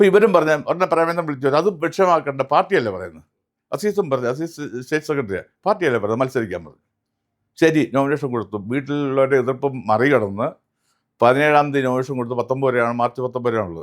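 A man with an unremarkable speaking voice talks at a fairly high pitch with lively intonation and big swings in loudness. The recording is very clean, the background silent. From Kerala, Kannur. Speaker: politician. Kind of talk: interview.

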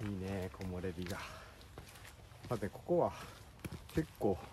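Noticeable background noise runs beneath a man's voice. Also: dry sound with no echo. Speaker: hiking vlogger. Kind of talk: casual conversation while hiking. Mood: relaxed, cheerful. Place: forest. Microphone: phone near.

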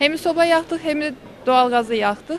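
Over light background noise, a woman speaks at a moderate pace with ordinary pitch variation, the sound dry with no echo. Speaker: street interviewee. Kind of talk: street interview. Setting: outdoors. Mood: chatty, complaining about bills. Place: street. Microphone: handheld.

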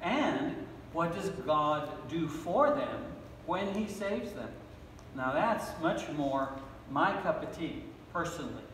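A man with a high voice speaks at a very slow pace with very wide pitch swings, amid light background noise and audible room echo. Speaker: pastor. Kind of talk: sermon. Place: church. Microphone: podium.

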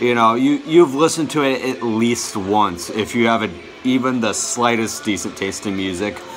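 Light noise sits behind a man's voice. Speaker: music collector vlogger. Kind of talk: casual vlog chat. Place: home room. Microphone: phone near.

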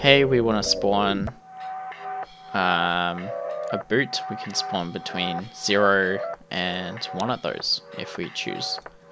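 With music in the background, a man speaks at a very slow pace with long, frequent pauses and ordinary pitch variation. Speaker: game development tutorial narrator. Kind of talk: tutorial.

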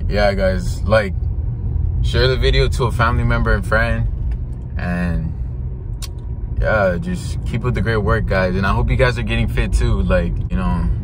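A man with a very deep, low voice speaks fairly slowly with lively intonation, in a dry sound with no echo and noticeable background noise. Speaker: vlogger. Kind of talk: casual vlog chat. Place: car. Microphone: phone near.

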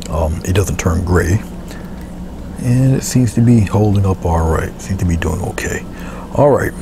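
Soft-spoken and very deep in pitch, a man talks at a moderate pace with lively intonation and long, frequent pauses. The sound is dry with no echo, though noticeable background noise comes through. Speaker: painter and art tutorial presenter; presenter. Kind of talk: tutorial. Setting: video recording of painting demonstration. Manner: halting, with frequent filler words.

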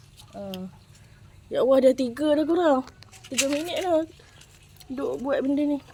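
With long, frequent pauses and a fairly slow pace, a woman speaks at a high pitch with lively intonation against noticeable background noise. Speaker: vlogger. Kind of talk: casual chat. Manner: animated.

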